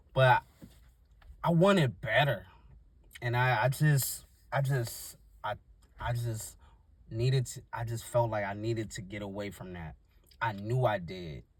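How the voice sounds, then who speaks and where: A man with a medium-pitched, somewhat breathy voice speaks at a fairly slow pace with lively intonation. He takes long, frequent pauses, and his loudness swings widely. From US, Washington D.C. (Northeast). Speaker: YouTuber, motivational talker. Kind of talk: casual motivational monologue. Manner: halting, unscripted.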